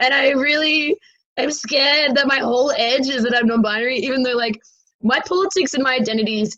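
A woman speaks in a high, bright, sharp voice with an energetic tone and lively intonation. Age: 20s. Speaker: comedian and activist. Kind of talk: interview conversation.

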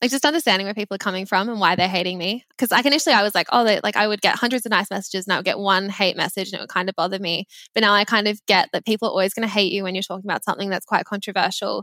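This woman talks very fast in an Australian accent, barely pausing, her pitch medium with ordinary variation. Her tone is bright and sharp, and the sound is dry and close with no echo. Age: 20s. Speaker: personal finance social media creator. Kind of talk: casual chat.

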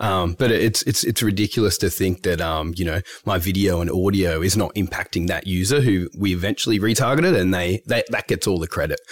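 A man with an Australian accent, very deep and low in pitch, at a fairly quick pace with ordinary pitch variation and hardly any pauses. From Australia, Melbourne. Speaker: ad tech trading director. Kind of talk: interview. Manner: hesitant, many fillers.

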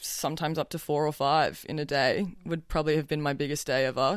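On a very clean recording with a silent background, a woman speaks at a moderate pace in an Australian accent. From southern New South Wales, Australia. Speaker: fashion model. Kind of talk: interview.

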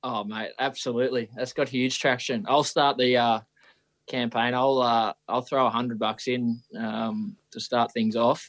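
Against a quiet background, a man with an Australian accent speaks at a medium pitch. His pace is fairly slow and his intonation fairly even. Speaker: professional footballer. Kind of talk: casual chat. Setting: video call.

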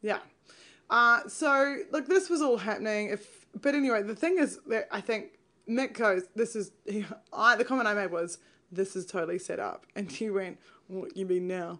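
Speaking at a moderate pace, a woman uses a fairly high pitch, lively intonation and an animated tone. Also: quiet background. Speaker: podcast co-host, TV show commentator. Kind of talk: casual chat, comedic recap podcast. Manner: joking, animated, laughs often.

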